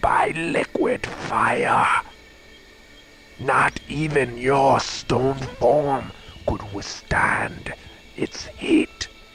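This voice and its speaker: Over clear background noise, a man puts on a character voice, fairly high in pitch. He speaks at a very slow pace. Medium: machinima. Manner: solemn, formal.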